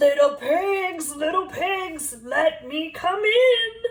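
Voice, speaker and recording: An extremely high-pitched, put-on character voice moves at a very slow pace. Its pitch swings are very wide. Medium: read story. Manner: growling, menacing.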